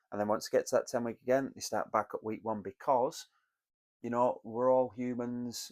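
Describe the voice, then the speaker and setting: At a fairly quick pace, a man with a British accent speaks in a monotone, flat intonation on a very clean recording with a silent background. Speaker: business mentor. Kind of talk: solo talk to camera, business advice. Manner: conversational, some hesitations.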